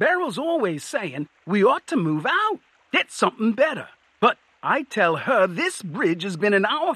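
The words come in a natural reading voice.

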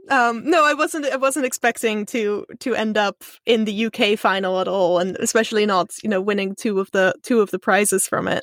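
Her pitch is fairly high and her pace fairly quick. This woman speaks with a Dutch accent. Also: ordinary pitch variation, hardly any pauses, dry, close sound with no echo. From Netherlands, Amsterdam, then abroad (Israel, Kenya). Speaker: science communicator. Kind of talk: casual interview chat.

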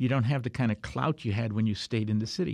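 Talking very fast with ordinary pitch variation, a man comes through on a very clean recording with a silent background. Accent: Chicago. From US Midwest, Chicago South Side. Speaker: historian and author. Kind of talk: interview. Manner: halting.

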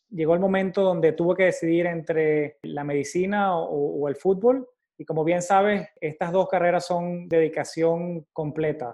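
Intonation holds fairly level. Delivery is on the slow side. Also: man, high pitch for a man, hardly any pauses. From Venezuela, Valencia. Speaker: cardiology fellow. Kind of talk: casual interview chat.

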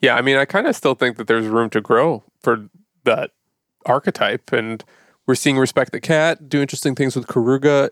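A man with a plain, everyday voice, medium in pitch with ordinary variation, at a fairly quick pace, in a dry, close sound with no echo. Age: 30s. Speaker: podcast host. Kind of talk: scripted outro; casual chat. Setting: remote call.

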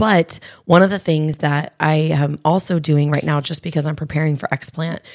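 Raspy and delivered at a moderate pace with fairly even intonation, the speech sits in a very clean recording with a silent background. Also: woman, low pitch for a woman.

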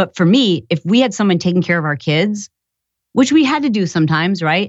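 In an American accent, a woman with an ordinary speaking voice talks at a medium pitch with lively intonation. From Michigan. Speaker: entrepreneur and podcaster. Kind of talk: casual interview.

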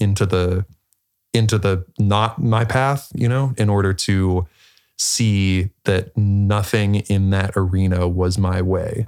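A man with an American accent and fairly low pitch, at a very slow pace, on a very clean recording with a silent background. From Pittsburgh, Pennsylvania, US. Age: 20s. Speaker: former college athlete. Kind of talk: casual chat.

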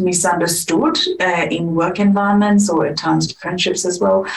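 A woman with a fairly low voice and ordinary pitch variation speaks at a moderate pace, with audible room echo around her. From India. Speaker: life coach and hypnotherapist. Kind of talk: casual interview chat. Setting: in-person recording side by side.

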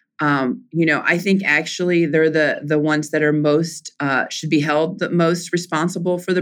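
At a moderate pace, a woman with an American accent speaks in a fairly low pitch with fairly even intonation. The recording is very clean, with a silent background. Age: 40s. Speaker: politician. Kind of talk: interview.

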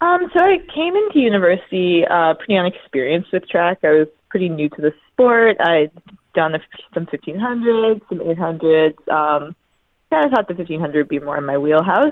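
At a moderate pace, a woman with a normal speaking voice talks at a fairly low pitch with lively intonation. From Newfoundland, Canada (St. John's). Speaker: university steeplechase runner. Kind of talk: interview. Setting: hotel room.

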